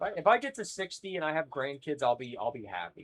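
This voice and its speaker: This man talks at a fairly high pitch and his voice swings very widely up and down. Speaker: live streamer. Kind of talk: casual live stream chat. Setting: live stream. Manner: halting, repeats words.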